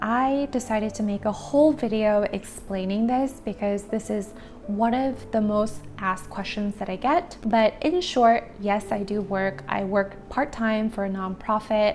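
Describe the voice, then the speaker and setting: A woman with a Korean accent speaks at a fairly slow pace with hardly any pauses and ordinary pitch variation, with noticeable background noise behind her. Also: fairly high pitch for a woman. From Korea, Germany and Alaska. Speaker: lifestyle vlogger. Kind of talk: casual Q&A monologue.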